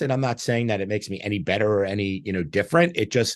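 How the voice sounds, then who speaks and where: With a quiet background and a dry, close sound with no echo, a man speaks at a fairly low pitch with ordinary pitch variation. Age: 60s. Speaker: interview show host. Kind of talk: casual interview. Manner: halting, many fillers and restarts.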